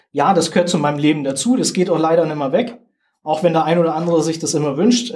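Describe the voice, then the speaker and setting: A man with a southern German accent talks at a very fast pace in a high voice. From southern Germany. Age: 40s. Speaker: soldier and games ambassador. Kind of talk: interview.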